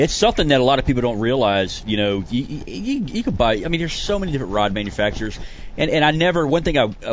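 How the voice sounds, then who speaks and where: Very fast and full of very wide pitch swings, a man's voice carries. Room echo is audible. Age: 40s. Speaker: retired special forces soldier and custom rod builder. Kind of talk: casual chat.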